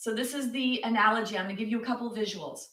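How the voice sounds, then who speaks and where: This woman talks loudly at a high pitch. Her tone is bright and sharp. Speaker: yoga teacher. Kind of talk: guided yoga class.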